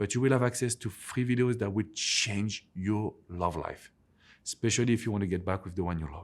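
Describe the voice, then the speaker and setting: A man with a strong French accent speaks with ordinary pitch variation on a very clean recording with a silent background. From France. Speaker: relationship coach. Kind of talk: advice vlog to camera.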